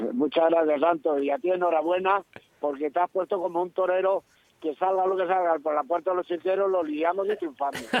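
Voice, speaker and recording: At a high pitch, a man talks with fairly even intonation and very even loudness. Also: fairly quick pace. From Salamanca, Spain. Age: 70s. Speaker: retired matador and cattle rancher. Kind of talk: phone interview.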